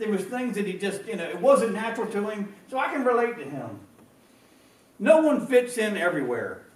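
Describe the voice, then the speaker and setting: In an American accent, a man with a high pitch and lively intonation speaks with big swings in loudness, with audible room echo and noticeable background noise. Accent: country accent, noticeable up north. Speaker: pastor. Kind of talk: sermon. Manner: halting, repetitive.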